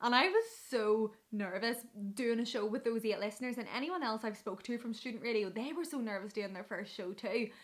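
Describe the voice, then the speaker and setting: Her voice fairly high and animated, a woman speaks at a fairly quick pace with ordinary pitch variation. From Northern Ireland. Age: 20s. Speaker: radio presenter. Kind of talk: casual vlog advice. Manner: fast.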